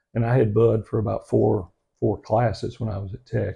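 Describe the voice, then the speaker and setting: A man with an American accent, fairly low-pitched, with a dark, mellow, somewhat breathy tone, at a moderate pace against a quiet background. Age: 60s. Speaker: local historian and author. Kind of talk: interview. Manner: halting, many fillers.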